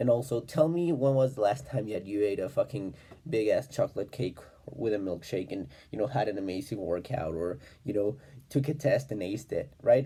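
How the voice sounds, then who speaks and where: A somewhat breathy, dark, mellow voice with a non-native accent. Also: man, medium pitch for a man, fairly quick pace. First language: not English. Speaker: self-improvement vlogger. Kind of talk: casual monologue. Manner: halting, many fillers.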